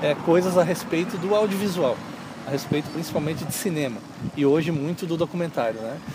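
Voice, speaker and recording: Over noticeable background noise, a high-pitched man talks at a fairly quick pace with ordinary pitch variation. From southern Brazil, Lages (Santa Catarina). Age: 30s. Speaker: filmmaker and media teacher. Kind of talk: interview.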